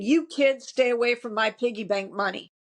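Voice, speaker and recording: A woman does a put-on character voice that is loud and booming, with a fairly high pitch. She speaks at a moderate pace with ordinary pitch variation. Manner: loud, scolding.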